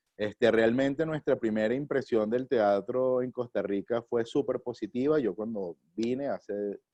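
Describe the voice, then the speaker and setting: A man speaks in a plain, everyday voice at a fairly slow pace with hardly any pauses and ordinary pitch variation. The sound is dry and close with no echo. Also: medium pitch for a man. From Venezuela, Caracas. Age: 30s. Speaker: theatre actor and director. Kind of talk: interview. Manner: casual, with many fillers.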